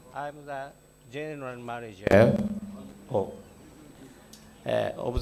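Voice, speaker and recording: With noticeable background noise and audible room echo present, the man speaks very slowly. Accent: Japanese. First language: Japanese. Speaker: construction consultant manager. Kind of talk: conference presentation. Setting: conference session with audience.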